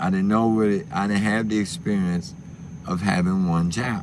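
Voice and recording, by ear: The man's voice sits low in pitch, with ordinary pitch variation.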